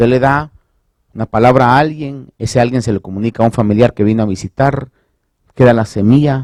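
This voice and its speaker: Animated in tone, a man speaks at a moderate pace and medium pitch, with a dry, close sound and no echo. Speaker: pastor. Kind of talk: sermon.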